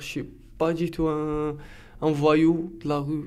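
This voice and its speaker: A fairly high-pitched male voice at a fairly slow pace, with audible room echo. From Algeria, Algiers. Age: 20s. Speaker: defendant. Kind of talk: testimony. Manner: halting.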